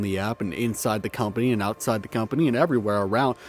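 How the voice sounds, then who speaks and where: With music in the background, a man speaks at a medium pitch with ordinary pitch variation. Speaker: video essayist. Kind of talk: video essay commentary, partly read from script. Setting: cold room, heater just came on. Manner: casual, halting with fillers.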